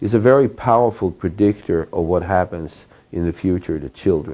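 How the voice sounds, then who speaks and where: A man with a Swedish accent, dark and mellow in tone, at a moderate pace. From Sweden. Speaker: professor. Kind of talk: lecture.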